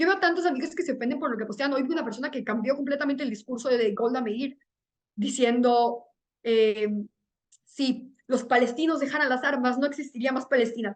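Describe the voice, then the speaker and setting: Fairly quick delivery, pitch moving by ordinary amounts. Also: woman, high pitch for a woman. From Venezuela. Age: 20s. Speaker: student, peace debate organization member. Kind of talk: interview.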